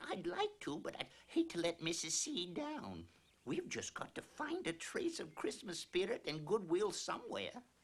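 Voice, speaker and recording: A cartoonish character voice at a middle pitch goes along at a moderate pace. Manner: bossy, prim.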